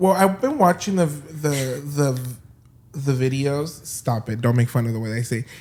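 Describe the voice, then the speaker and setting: A man speaks at a moderate pace with a fairly high pitch. His voice is somewhat breathy, with ordinary pitch variation. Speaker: podcast co-host. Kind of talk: casual chat. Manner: halting.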